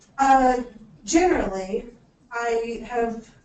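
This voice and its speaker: A woman speaks with a dark, mellow tone. Audible room echo surrounds her voice. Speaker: state education finance official. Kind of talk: conference presentation.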